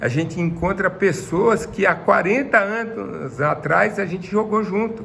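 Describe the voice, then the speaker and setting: A man talks at a fairly slow pace with a high pitch and ordinary pitch variation, leaving hardly any pauses. Noticeable background noise runs under his voice. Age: 60s. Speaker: retired footballer. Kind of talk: interview.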